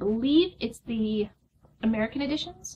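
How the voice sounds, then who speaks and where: A woman at a fairly high pitch, somewhat breathy, with ordinary pitch variation. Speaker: unboxing vlogger. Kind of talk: casual unboxing video. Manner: fast.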